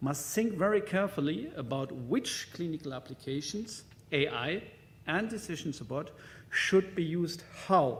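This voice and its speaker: With a German accent, a man speaks at a moderate pace and fairly high pitch with lively intonation. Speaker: conference speaker on hospital IT. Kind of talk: conference presentation. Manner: halting, many fillers.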